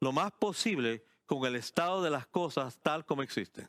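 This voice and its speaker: Recorded dry and close with no echo, a man talks at a fairly slow pace in a fairly high, bright, sharp voice with lively intonation. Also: very clean recording, silent background. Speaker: pastor. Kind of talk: sermon.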